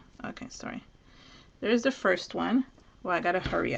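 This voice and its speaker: A woman's fairly high voice with lively intonation, over noticeable background noise. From Venezuela. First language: Spanish. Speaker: crafter. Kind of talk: live craft tutorial. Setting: live stream video.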